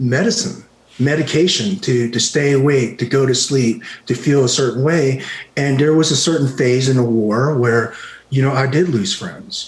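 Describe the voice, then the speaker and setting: A man speaks at a moderate pace with a medium pitch, a somewhat breathy voice, and ordinary pitch variation. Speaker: retired army special forces veteran, martial arts teacher. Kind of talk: podcast interview answer. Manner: soft-spoken.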